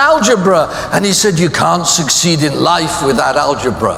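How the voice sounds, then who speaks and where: Over noticeable background noise and audible room echo, a man speaks at a moderate pace with very wide pitch swings. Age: 80s+. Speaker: life insurance adviser and speaker. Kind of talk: keynote speech. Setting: stage with audience. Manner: humorous, anecdotal.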